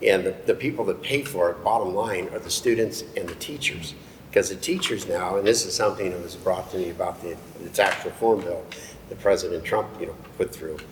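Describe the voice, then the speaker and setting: A man at a fairly quick pace, with big swings in loudness and noticeable background noise. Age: 60s. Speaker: political candidate. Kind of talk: candidate forum debate. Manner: halting.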